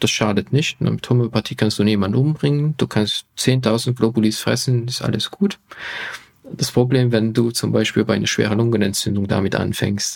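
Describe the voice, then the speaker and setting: With a Hungarian accent, a man speaks at a medium pitch and a moderate pace, with ordinary pitch variation. The sound is dry and close, with no echo. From Hungary. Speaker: physician and health YouTuber. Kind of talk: podcast interview.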